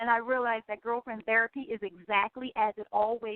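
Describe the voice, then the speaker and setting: In an American accent, a woman with a fairly high pitch speaks with fairly even intonation. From US, West Philadelphia. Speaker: radio host, life coach. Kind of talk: radio talk show monologue. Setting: radio studio. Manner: fast; sometimes mumbled.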